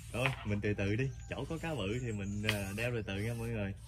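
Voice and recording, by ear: A fast-paced, fairly low-pitched male voice with fairly even intonation.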